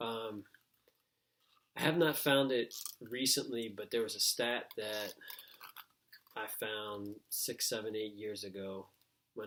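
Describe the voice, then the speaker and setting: Very slow speech from a man at medium pitch. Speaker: speaker who stutters. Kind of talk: presentation. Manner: halting.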